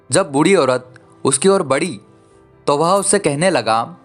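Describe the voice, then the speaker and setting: Over music in the background, a man talks with lively intonation in a fairly high pitch. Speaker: voice-over narrator. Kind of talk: children's story narration. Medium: read story.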